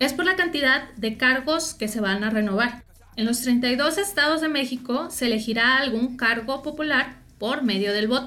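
A woman's high, raised, projected voice with a Mexican accent, animated in tone, at a moderate pace with ordinary pitch variation. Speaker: youth explainer podcast host. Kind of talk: casual explainer monologue.

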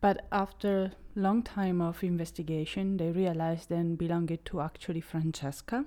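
In a very clean recording with a silent background, a woman speaks with an Italian accent. Her dark, mellow voice is fairly low, fairly slow, and fairly even in intonation. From Italy. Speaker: true crime podcaster. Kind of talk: true crime storytelling monologue. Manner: occasionally halting.

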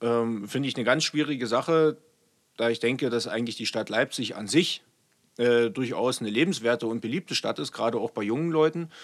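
Speaking fairly quickly, a man has a normal speaking voice at a medium pitch with ordinary pitch variation. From eastern Germany, Saxony (Görlitz). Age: 30s. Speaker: state politician and police officer. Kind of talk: interview conversation.

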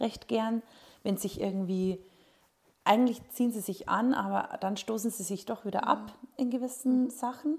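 Somewhat breathy and fairly high, a woman's voice moves at a moderate pace with ordinary pitch variation and long, frequent pauses. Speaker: podcast host. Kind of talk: casual chat.

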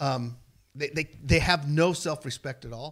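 A man speaks at a fairly slow pace. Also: very clean recording, silent background. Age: 50s. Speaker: mechanic and father of a host. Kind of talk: casual chat.

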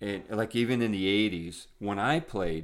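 With a Northern Ontario accent, the speaker moves at a moderate pace with ordinary pitch variation on a very clean recording with a silent background. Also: man. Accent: Canadian (Northern Ontario). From Northern Ontario, Sault Ste. Marie. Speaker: podcast co-host. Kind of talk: casual chat.

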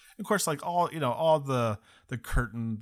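On a very clean recording with a silent background, a man with an American accent and a plain, everyday voice speaks at a moderate pace with lively intonation. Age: 30s. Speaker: podcast host, former cruise ship worker. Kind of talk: casual chat.

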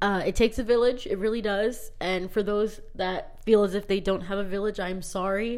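A woman with an ordinary speaking voice talks at a moderate pace and medium pitch, her intonation fairly even and hardly any pauses between words. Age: 20s. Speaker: podcast host and middle school teacher. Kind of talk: casual monologue. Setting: alone in a closet.

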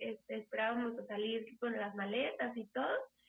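High-pitched, a woman talks at a fairly slow pace. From Mexico City. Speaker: engineer's wife, pet owner who emigrated. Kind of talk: casual interview.

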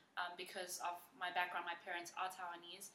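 A woman speaks in a bright, sharp tone, with audible echo from the room. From South Africa, Johannesburg. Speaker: teacher. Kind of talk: casual interview.

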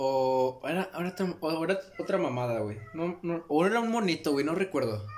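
Over noticeable background noise, a man with a fairly high pitch speaks with lively intonation and hardly any pauses. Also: moderate pace. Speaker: podcast co-host. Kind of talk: casual chat. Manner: animated.

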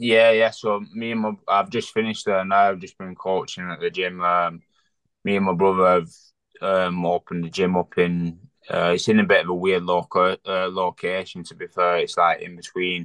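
A man with a very deep, low pitch speaks at a moderate pace in a monotone, flat way, his loudness swinging widely. The sound is dry and close with no echo, over a quiet background. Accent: Lancashire. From Bolton, northern England. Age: 20s. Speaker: professional boxer. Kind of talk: casual chat. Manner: halting.

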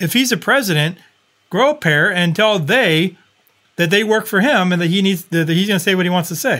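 Raising and projecting his voice, a man speaks at a high pitch with lively intonation and very even loudness. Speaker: podcast host. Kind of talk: casual talk show on local politics. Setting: studio with microphones, live stream.

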